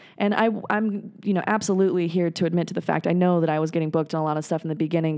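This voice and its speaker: This woman talks at a very fast pace. Her tone is dark and mellow, with ordinary pitch variation. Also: hardly any pauses. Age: 30s. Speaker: stand-up comedian. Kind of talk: casual chat. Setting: home garage studio.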